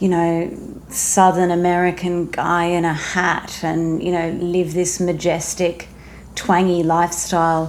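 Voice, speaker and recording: Audible room echo surrounds a woman with an Australian accent who speaks at a fairly slow pace in a fairly low voice. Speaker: singer-songwriter and former newsreader. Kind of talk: casual interview chat.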